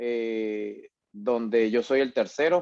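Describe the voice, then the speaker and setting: The man's voice sounds dry and close with no echo, with fairly even intonation over a quiet background. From Venezuela, Portuguesa state (Acarigua/Araure). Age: 30s. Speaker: migrant entrepreneur. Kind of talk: interview. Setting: recorded conversation. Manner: hesitant, many fillers.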